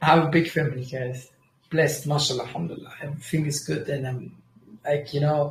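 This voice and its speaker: The speech is somewhat breathy and very fast, with a Kurdish accent. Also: man, fairly high pitch for a man. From Germany. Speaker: trading livestreamer. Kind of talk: casual livestream chat. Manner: animated; halting.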